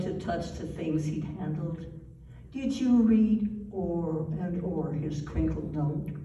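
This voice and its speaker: A woman's fairly low voice, very slow pace and lively intonation over noticeable background noise. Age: 80s+. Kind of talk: poetry reading.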